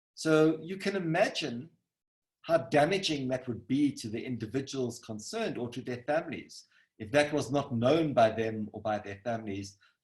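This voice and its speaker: With a somewhat breathy, medium-pitched voice, a man speaks at a moderate pace using lively intonation and big swings in loudness. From South Africa. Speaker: scientist. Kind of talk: lecture.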